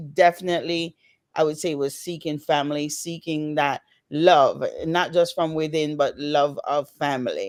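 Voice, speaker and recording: In a very clean recording with a silent background, a woman with a Jamaican accent speaks at a moderate pace in a very deep, low pitch, her intonation monotone and flat but her loudness swinging widely. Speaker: author. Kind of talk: interview. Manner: halting.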